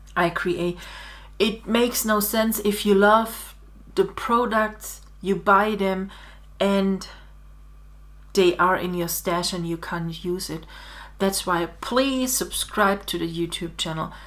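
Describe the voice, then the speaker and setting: Speaking very slowly with long, frequent pauses, a woman with a German accent keeps her intonation fairly even. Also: medium pitch for a woman. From Germany. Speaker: digital scrapbooking designer. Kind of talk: tutorial. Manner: halting.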